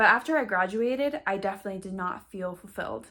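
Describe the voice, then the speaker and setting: A woman speaks at a medium pitch and a moderate pace. She has an ordinary speaking voice. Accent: American. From western Colorado, US. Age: 20s. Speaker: actress and acting coach. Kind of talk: online course talk to camera. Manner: casual, conversational.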